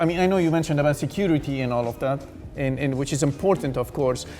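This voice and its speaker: An American accent amid noticeable background noise. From United States. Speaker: discussion host. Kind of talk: TV panel discussion. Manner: halting, many fillers and repeats.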